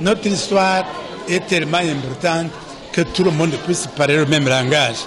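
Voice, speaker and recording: A high-pitched male voice with lively intonation at a moderate pace, audible room echo and crowd noise in the background. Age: 60s. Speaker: genocide survivor speaking at a commemoration. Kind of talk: commemorative speech.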